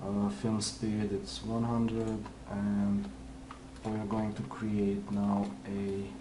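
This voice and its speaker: With a non-native accent, a man speaks at a very slow pace in a fairly low pitch, with audible room echo and noticeable background noise. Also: ordinary pitch variation. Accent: foreign. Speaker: 3D visualization artist. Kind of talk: tutorial. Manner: halting, many fillers.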